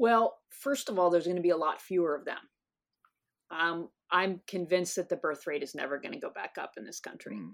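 With a normal speaking voice, a woman talks at a fairly quick pace in a fairly low pitch and lively intonation. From US South. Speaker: psychology professor. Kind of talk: interview.

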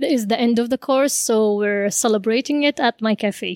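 In a very clean recording with a silent background and a dry, close sound with no echo, a woman with an Arabic accent speaks at a fairly high pitch with fairly even intonation. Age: 20s. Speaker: cafe owner. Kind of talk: casual interview.

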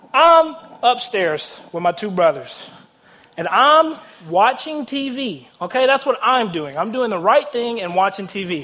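A raised, projected voice with an animated tone, very wide pitch swings and a fairly slow pace, over noticeable background noise. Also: man, high pitch for a man. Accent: Tennessee. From US South, Nashville, Tennessee. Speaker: guest preacher. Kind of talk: sermon. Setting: church stage with audience.

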